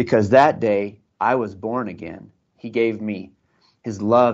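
A man's medium-pitched voice with an American accent. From US Southwest (New Mexico). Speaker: ministry leader. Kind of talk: testimony. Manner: halting.

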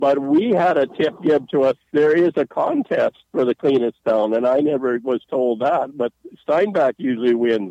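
A man speaks with a fairly high pitch and a dark, mellow tone. His loudness stays very even, and the sound is dry and close with no echo. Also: ordinary pitch variation, moderate pace. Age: 60s. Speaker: retired volunteer. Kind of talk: radio interview. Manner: halting.

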